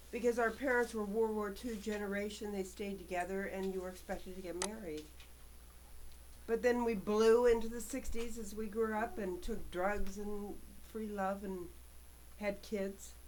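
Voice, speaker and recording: Audible room echo surrounds a woman speaking at a moderate pace with a medium pitch and fairly even intonation. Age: 60s. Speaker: vlogger. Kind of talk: personal monologue. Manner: halting.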